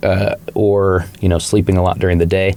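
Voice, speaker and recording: A very deep, low male voice over noticeable background noise. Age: 30s. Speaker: recovering alcoholic, punk musician. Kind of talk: podcast interview. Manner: casual, many fillers like 'like' and 'you know'.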